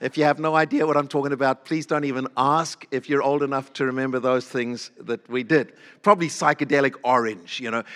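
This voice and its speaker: The delivery moves at a fairly quick pace with a warm, animated tone. The sound is dry and close, with no echo. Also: man, fairly high pitch for a man. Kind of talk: sermon with personal anecdotes. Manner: animated, humorous storyteller; warm, conversational.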